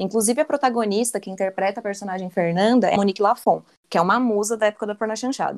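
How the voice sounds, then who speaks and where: Very fast delivery from a woman, medium in pitch, her pitch varying in an ordinary way. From Southeast Brazil. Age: 20s. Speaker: economist, podcast panelist. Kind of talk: casual chat.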